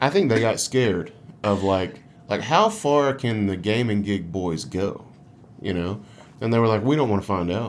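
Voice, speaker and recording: A man's fairly low voice in a Southern US accent, with ordinary pitch variation and a moderate pace. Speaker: gaming podcast host and musician. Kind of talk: casual chat.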